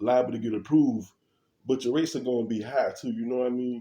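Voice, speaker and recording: A man with a dark, mellow tone. His pitch sits in the medium range. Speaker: vlogger, property investor. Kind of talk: casual vlog talk. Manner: casual, hesitant.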